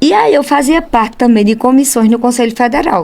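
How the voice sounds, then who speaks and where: An animated woman at a fairly quick pace with ordinary pitch variation. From Brazil, Pernambuco backlands (sertão). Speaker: accountant and professional council leader. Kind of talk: interview conversation.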